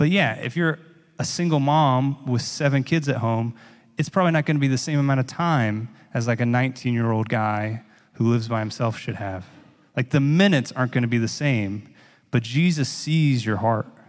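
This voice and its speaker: A man talks at a fairly quick pace with medium pitch and ordinary pitch variation. His is an ordinary speaking voice. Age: 30s. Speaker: pastor. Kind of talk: sermon. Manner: casual, conversational.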